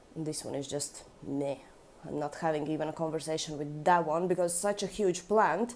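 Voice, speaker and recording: Speaking at a fairly slow pace with a Russian accent, the voice shows ordinary pitch variation. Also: woman. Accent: Russian Eastern European. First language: Latvian. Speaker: orchid collector. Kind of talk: casual vlog. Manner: casual with fillers.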